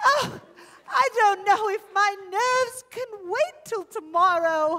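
A woman's put-on character voice, extremely high with a bright, sharp tone, lively intonation and a slow pace.

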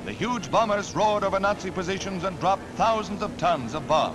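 Clear music plays behind a man speaking at a fairly quick pace. His voice is high-pitched. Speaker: newsreel narrator. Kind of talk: newsreel narration. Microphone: old recording.

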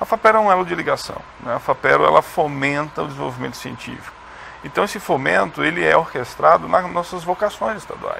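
A man talks at a moderate pace while light background noise sits behind him. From Rondônia, Brazil. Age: young. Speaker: science agency head, chemist. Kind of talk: TV interview. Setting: studio. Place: studio. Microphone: lapel.

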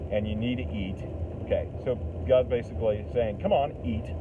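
A fairly low-pitched man at a moderate pace, with noticeable background noise. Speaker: lay preacher. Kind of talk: sermon. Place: car. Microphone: phone near.

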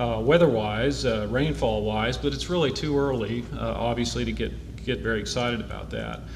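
Noticeable background noise behind a man's voice, the pace moderate. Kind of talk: prepared public update. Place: hall. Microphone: podium.

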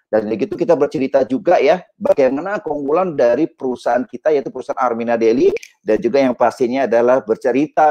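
A man at a fairly high pitch, dark and mellow in tone, with lively intonation and a fairly quick pace over a quiet background. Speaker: network marketing leader; online show host. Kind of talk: business presentation. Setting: video call. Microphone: earbuds.

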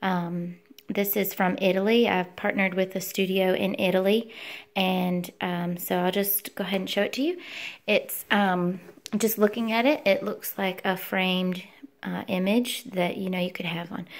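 A woman speaks at a moderate pace, her intonation fairly even. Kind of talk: product demonstration. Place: home room. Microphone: phone near.

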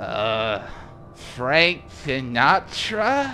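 Over clear background noise, a man of medium pitch performs a put-on character voice.

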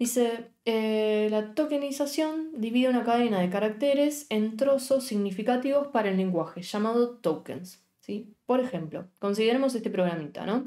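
A dark, mellow tone at a moderate pace, with lively intonation, hardly any pauses and a quiet background. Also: woman. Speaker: programming teacher; programming teacher streamer. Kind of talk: live-streamed coding class. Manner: casual, chatty with live chat; stumbling, self-correcting. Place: home room.

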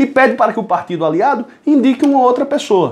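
A man speaks with lively intonation. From Brazil. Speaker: political commentator. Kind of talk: political commentary monologue. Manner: animated. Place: home room. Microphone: phone near.

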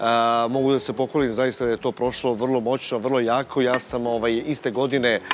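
A man speaks in a flat monotone at a very even loudness, with light background noise. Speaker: guest. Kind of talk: interview answer. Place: studio. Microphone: lapel.

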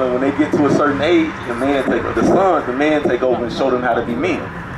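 Through loud background noise, a man talks at a fairly quick pace and medium pitch with fairly even intonation. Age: 30s. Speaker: street preacher. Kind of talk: street preaching to passersby. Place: street.

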